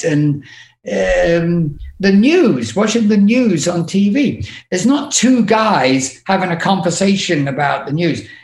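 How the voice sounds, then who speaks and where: Speaking very slowly with an English accent, a high-pitched man makes very wide pitch swings. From England. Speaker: podcast guest, music industry manager.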